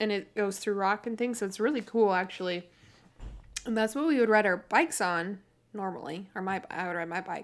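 Recorded very cleanly against a silent background, a woman uses an ordinary speaking voice at a moderate pace with ordinary pitch variation. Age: 20s. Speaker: podcast co-host. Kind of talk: casual chat. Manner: laughs often.

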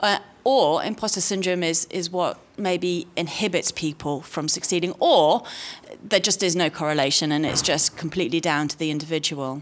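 Using ordinary pitch variation, a woman speaks at a moderate pace. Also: fairly low pitch for a woman. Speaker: academic audience member. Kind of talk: Q&A question. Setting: lecture hall with audience. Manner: halting.

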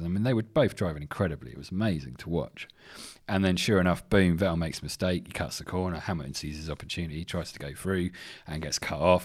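Very fast speech in an English accent with ordinary pitch variation, on a very clean recording with a silent background. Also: man. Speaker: podcast host. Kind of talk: casual solo sports chat. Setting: home studio.

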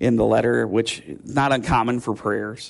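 Vocal fry in a man's medium-pitched voice, with fairly even intonation. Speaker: pastor. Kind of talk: sermon.

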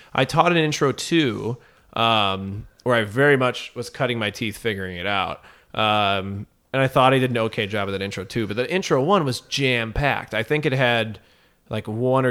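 This man has an ordinary speaking voice at a medium pitch. His intonation is lively and his pace moderate. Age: 20s. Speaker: improviser. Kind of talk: casual interview chat.

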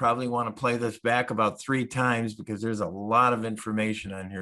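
Bright and sharp, a man's voice holds a medium pitch with fairly even intonation. The recording is very clean, with a silent background. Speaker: senior move specialist, co-host. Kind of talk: interview.

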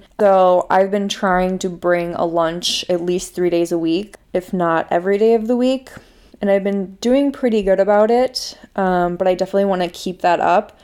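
Her intonation fairly even, a woman talks with a strong Minnesota accent. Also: medium pitch for a woman, moderate pace. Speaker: podcast host. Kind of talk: personal monologue.

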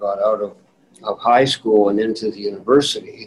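A man talks with a Manitoban accent. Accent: Canadian (Manitoba). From Winnipeg, Manitoba, Canada. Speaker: retired judge. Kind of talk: interview reminiscence. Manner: halting with repetitions.

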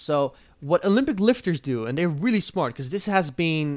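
Over a silent background in a very clean recording, a man with a plain, everyday voice talks at a moderate pace with lively intonation. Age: 20s. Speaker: medical student and calisthenics athlete. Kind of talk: casual interview chat.

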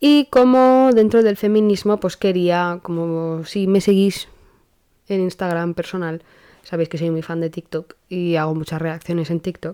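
A dark, mellow tone moves at a moderate pace with ordinary pitch variation. The recording is very clean and the background silent. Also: woman. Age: 20s. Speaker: podcast host. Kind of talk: casual monologue. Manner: hesitant, many fillers.

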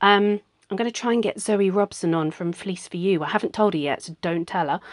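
In a dry, close sound with no echo and a quiet background, a woman talks at a moderate pace with fairly even intonation in an unremarkable speaking voice. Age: 40s. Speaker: podcast host and needle felting artist. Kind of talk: casual monologue. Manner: conversational with fillers.

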